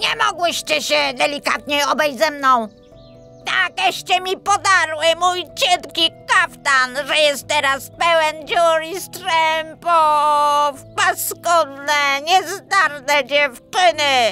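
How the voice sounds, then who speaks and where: Someone shouts very slowly in a put-on character voice while clear music plays in the background. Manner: indignant, shouting.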